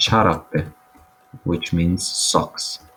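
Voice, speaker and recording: With music playing behind, the words come out very slowly. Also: man. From Croatia, Zagreb area. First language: Croatian. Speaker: language teacher. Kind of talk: tutorial.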